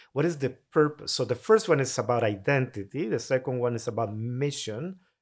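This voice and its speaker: A man with a Honduran accent speaks at a medium pitch with lively intonation, on a very clean recording with a silent background. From Honduras (Tegucigalpa). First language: Spanish. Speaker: mission agency president. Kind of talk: casual interview chat.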